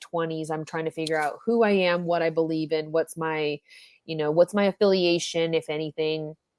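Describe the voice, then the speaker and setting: An unremarkable speaking voice with an American accent and fairly even intonation comes through in a very clean recording with a silent background and a dry, close sound with no echo. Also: woman. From US South. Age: 20s. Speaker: podcast host. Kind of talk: casual chat.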